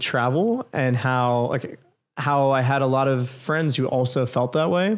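A man with an American accent has an unremarkable speaking voice at a medium pitch. He talks at a fairly slow pace. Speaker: restaurant co-founder. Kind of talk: casual interview.

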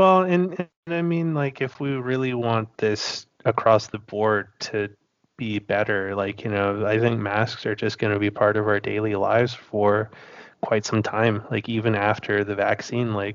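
A man's normal speaking voice, fairly low in pitch, with ordinary pitch variation and a fairly slow pace. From Western Canada, Kootenays (British Columbia). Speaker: film photographer. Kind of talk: casual chat.

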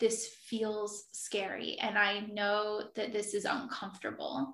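A woman with an American accent at a very slow pace. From South Jersey, near Philadelphia. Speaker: travel writer. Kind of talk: casual interview chat.

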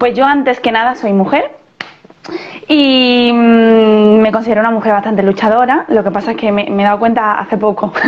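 A woman's fairly high voice at a moderate pace, with fairly even intonation, very even loudness and noticeable background noise. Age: 30s. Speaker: physiotherapist and CrossFit coach. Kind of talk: interview conversation. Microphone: poor audio in parts.

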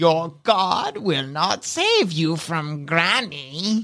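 A put-on character voice sits at a middle pitch. The delivery comes at a very slow pace. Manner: menacing, scornful.

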